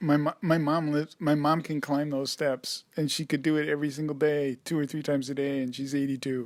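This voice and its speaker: In a very clean recording with a silent background, a man speaks fairly quickly with hardly any pauses, his fairly high voice monotone and flat. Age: 50s. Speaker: podcast co-host, caregiving husband. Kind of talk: casual chat.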